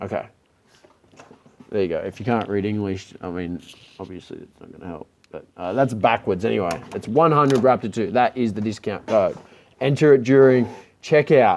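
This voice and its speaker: Talking at a moderate pace in an Australian accent, a man of medium pitch uses lively intonation, big swings in loudness and long, frequent pauses. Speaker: electric skateboard builder and vendor. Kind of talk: Q&A video. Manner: casual, many fillers.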